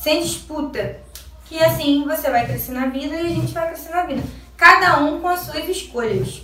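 A woman with a high pitch uses a raised, projected voice at a moderate pace, with audible room echo and noticeable background noise. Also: ordinary pitch variation. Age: 20s. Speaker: eyelash extension technician. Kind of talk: vlog rant. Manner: animated.

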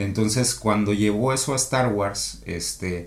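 A man at a fairly slow pace and fairly low pitch, with ordinary pitch variation and audible room echo. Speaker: podcast co-host. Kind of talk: casual chat.

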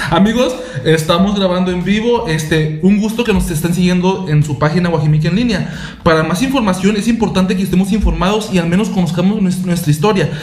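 Speaking at a fairly quick pace, a high-pitched man uses ordinary pitch variation. Audible room echo and noticeable background noise fill the recording. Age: 20s. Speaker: community podcast co-host. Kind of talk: casual chat. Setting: live recording.

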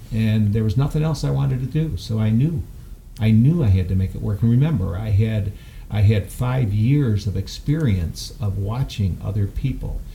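Over noticeable background noise, a man with an American accent speaks at a moderate pace, his fairly low voice carrying lively intonation. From upstate New York. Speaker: gym owner and founder. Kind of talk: interview storytelling. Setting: studio.

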